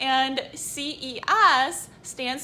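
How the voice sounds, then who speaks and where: With a slight Canadian accent, a woman projects a raised, high-pitched voice in a bright, sharp, animated tone with ordinary pitch variation. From Canada. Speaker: biohacking vlogger. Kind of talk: product unboxing video.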